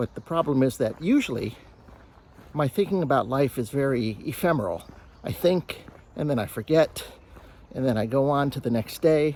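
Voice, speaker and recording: Over noticeable background noise, a man with an American accent speaks at a moderate pace and fairly high pitch with ordinary pitch variation and long, frequent pauses. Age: 60s. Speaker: vlogger. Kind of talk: casual vlog monologue. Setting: outdoors, walking on a trail. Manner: halting, many fillers.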